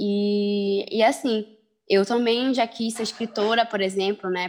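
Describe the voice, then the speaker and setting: Here a woman speaks in a normal speaking voice. Her pitch sits in the medium range. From Belém, Pará, northern Brazil. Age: 20s. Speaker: rapper and activist. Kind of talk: casual interview.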